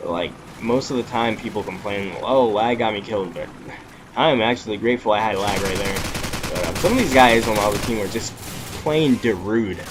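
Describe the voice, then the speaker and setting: There is noticeable background noise in this clip. A man speaks at a medium pitch. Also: ordinary pitch variation. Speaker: gaming YouTuber. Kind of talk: gameplay commentary. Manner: casual, many fillers.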